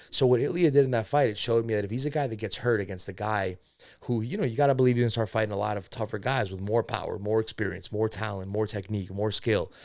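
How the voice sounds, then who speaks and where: A man speaks very fast in an animated tone with ordinary pitch variation. The recording is very clean, with a silent background. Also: medium pitch for a man. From United States. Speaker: MMA podcast host. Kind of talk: casual podcast fight analysis.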